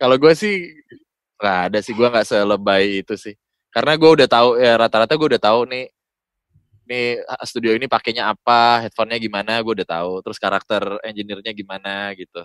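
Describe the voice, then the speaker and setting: At a very fast pace, a man talks in a medium pitch with ordinary pitch variation, on a very clean recording with a silent background. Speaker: voice-over talent. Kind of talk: casual chat. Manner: animated.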